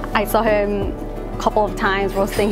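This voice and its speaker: A woman talks at a moderate pace. Clear music plays in the background. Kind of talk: interview answer. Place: cafe.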